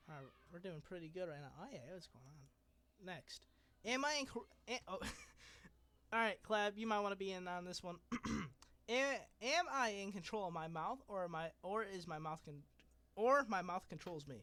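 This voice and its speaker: Raised and projected, a man's high, bright, sharp voice uses lively intonation at a moderate pace, with big swings in loudness and long, frequent pauses. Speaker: podcast host. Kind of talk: casual chat. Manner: stutters at times.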